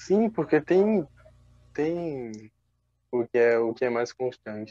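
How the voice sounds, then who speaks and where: The sound is dry and close with no echo. A man speaks at medium pitch with ordinary pitch variation. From Brazil, João Pessoa, Paraíba. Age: 20s. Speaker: visual artist and student. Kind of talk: interview. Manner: halting, with repetitions.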